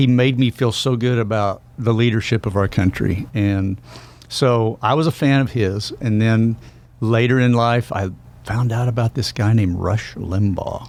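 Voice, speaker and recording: At a moderate pace, a man with an American accent talks in a medium pitch, keeping his loudness very even and his intonation fairly even. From Oklahoma. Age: 60s. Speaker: country musician turned Senate candidate. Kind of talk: radio interview.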